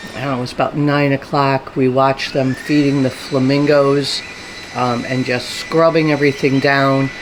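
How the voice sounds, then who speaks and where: Noticeable background noise surrounds a woman speaking at a moderate pace. Her very deep, low pitch stays monotone and flat. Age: 60s. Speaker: travel vlogger. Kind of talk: vlog narration. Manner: casual, many filler ums.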